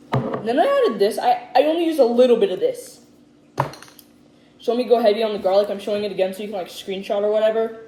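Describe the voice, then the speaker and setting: Speaking at a very fast pace, a woman with a fairly high pitch and ordinary pitch variation comes through noticeable background noise. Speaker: cooking youtuber. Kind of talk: casual cooking tutorial. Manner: loud.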